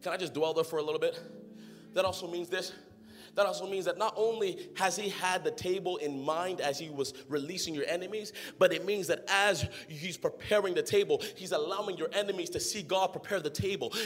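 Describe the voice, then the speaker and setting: The tone is animated. The pace runs fairly quick. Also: man, high pitch for a man. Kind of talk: sermon. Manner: animated, call-and-response preaching, pushing the crowd to shout back; rising, emphatic and repetitive, with laughter.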